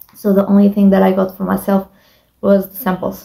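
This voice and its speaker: Somewhat breathy and dark, mellow in tone, a woman speaks at a medium pitch with a non-native accent. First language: not English. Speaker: beauty vlogger. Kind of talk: casual monologue. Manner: halting.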